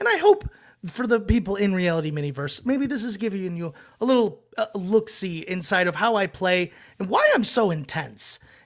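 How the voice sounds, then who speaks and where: Loud and lively in intonation, a man speaks at a high pitch. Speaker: reality TV contestant. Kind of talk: podcast interview. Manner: fast.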